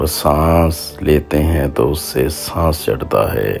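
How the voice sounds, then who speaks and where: A man's very deep, low voice is heard with music in the background. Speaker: poetry voiceover artist. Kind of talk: poetry reading.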